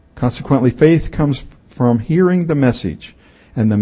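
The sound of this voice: Lively intonation colors the reading, done in an unforced voice.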